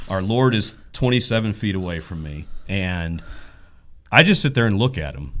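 On a very clean recording with a silent background, a man speaks at a fairly low pitch and a moderate pace. His intonation is lively, and his loudness swings widely. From East Texas. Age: 30s. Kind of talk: interview.

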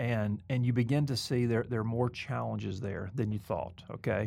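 A man speaks with a Southern US accent and ordinary pitch variation. The recording is very clean, with a silent background. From US South, Mobile, Alabama. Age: 40s. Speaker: seminary president and podcast host. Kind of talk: casual interview conversation. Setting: studio.

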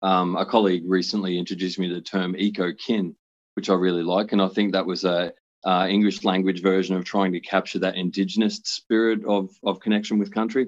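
With an Australian accent, a man with a very deep, low pitch talks at a fairly quick pace in a monotone, flat intonation. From Brisbane, Queensland, Australia. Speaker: social worker. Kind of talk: interview.

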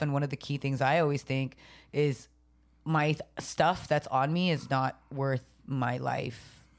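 A woman's very deep, low voice on a very clean recording with a silent background. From San Jose, California. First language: Tagalog. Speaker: podcast co-host, comedian. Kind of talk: casual chat. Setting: studio.

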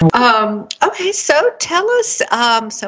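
A woman's voice with noticeable background noise. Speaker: podcast host. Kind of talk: scripted intro then interview chat.

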